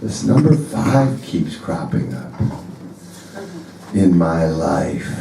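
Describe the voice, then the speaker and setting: A man with a very deep, low pitch talks at a very slow pace, his voice making very wide pitch swings between long, frequent pauses, with audible room echo and noticeable background noise. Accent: American. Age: 60s. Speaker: blues musician. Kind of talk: stage banter. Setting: stage with audience.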